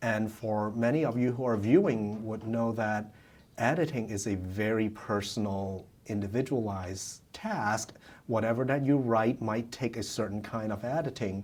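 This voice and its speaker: A man with a non-native accent speaks at medium pitch and a moderate pace. His intonation stays fairly even. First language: not English. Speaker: immigrant, former university student. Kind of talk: interview answer. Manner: hesitant, many fillers.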